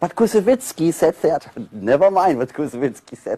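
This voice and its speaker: Fairly high-pitched male voice with vocal fry and a dark, mellow tone, in a dry, close sound with no echo. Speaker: former student of the conductor. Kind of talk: interview reminiscence.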